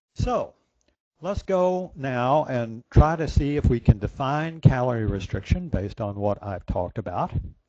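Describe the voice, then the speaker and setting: This man's dark, mellow voice swings very widely in pitch. His loudness shifts a lot too. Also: medium pitch for a man, moderate pace. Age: 60s. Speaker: conference speaker on calorie restriction. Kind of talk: lecture. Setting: virtual conference presentation.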